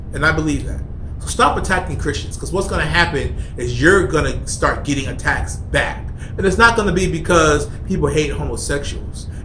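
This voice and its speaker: Male speech, with some echo from the room and faint noise in the background. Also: fairly quick pace. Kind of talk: angry rant, preachy vlog. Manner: emphatic, insistent, repeating points with heated force. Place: office. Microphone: phone near.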